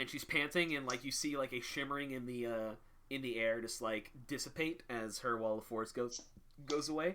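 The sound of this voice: This is an unforced reading voice. The pitch shows ordinary variation.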